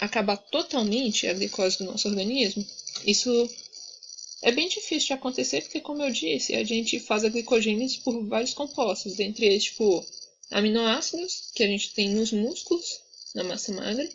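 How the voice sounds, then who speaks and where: Over noticeable background noise, a woman talks at a moderate pace. Her pitch is fairly high and her intonation lively. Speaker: student tutor. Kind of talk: tutoring session.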